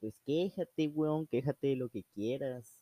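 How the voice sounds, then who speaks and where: Speaking with a Mexican accent, a man uses a dark, mellow tone at a fairly slow pace in a dry, close sound with no echo. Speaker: amateur podcaster. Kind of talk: casual monologue. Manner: animated; halting.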